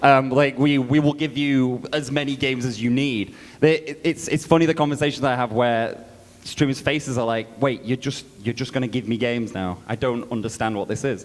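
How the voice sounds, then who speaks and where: The man's medium-pitched delivery moves at a fairly quick pace. His intonation stays fairly even. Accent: British. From Britain. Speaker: game publisher representative. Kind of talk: conference panel talk.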